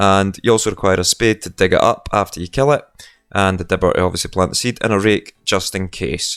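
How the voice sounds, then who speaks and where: A man at a fairly quick pace, with a dry, close sound, no echo, and a very clean recording over a silent background. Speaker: gaming video creator. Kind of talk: gameplay tutorial. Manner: fast.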